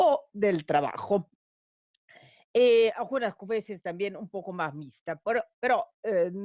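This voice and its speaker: The voice has a dark, mellow tone and moves at a very slow pace. Its pitch swings very widely. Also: woman, medium pitch for a woman. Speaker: law academic, panelist. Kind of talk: conference talk. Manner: halting, many repetitions.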